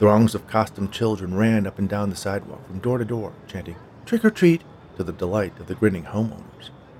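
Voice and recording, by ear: In a natural voice, the passage is read aloud.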